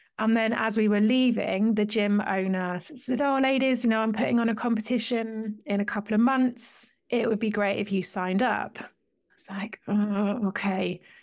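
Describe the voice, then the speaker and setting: A woman talks at a moderate pace with a fairly high pitch and fairly even intonation. The recording is very clean, with a silent background. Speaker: wellbeing coach, former police officer and strongwoman. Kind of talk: interview.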